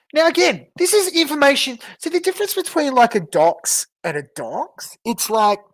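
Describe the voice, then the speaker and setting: The speaker, with an Australian accent, talks with hardly any pauses. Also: moderate pace. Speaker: livestreamer. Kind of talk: livestream commentary. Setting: livestream, off camera. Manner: casual, halting.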